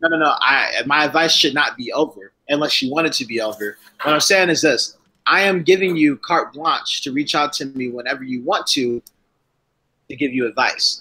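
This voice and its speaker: Loud and fairly high-pitched, a man speaks at a moderate pace with a bright, sharp tone. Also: ordinary pitch variation. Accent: American. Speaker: live streamer. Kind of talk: casual chat.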